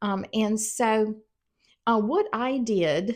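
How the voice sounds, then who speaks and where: The voice has an American accent and ordinary pitch variation. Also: woman. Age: 60s. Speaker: YouTuber, retiree. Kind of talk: casual talk to camera. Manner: hesitant, many fillers.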